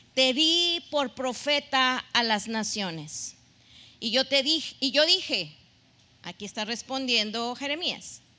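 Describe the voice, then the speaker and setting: Speaking very slowly, a woman raises and projects her high-pitched voice, bright and sharp in tone, with lively intonation. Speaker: pastor. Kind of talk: sermon.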